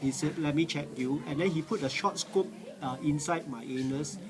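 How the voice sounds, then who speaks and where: A man with a fairly high pitch amid noticeable background noise. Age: 60s. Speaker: cancer patient. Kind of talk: testimony. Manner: halting, many fillers.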